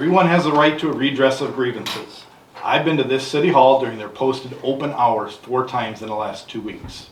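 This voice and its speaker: Over noticeable background noise, a man talks at a fairly quick pace, his medium pitch showing ordinary variation. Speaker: investigator. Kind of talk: public comment at council meeting. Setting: city council meeting room. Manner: fast; assertive.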